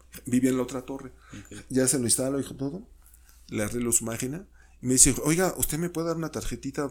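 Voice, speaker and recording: Speaking very fast in a Mexico City accent, a man keeps a medium pitch with ordinary pitch variation. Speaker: sociologist and university professor. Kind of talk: casual interview.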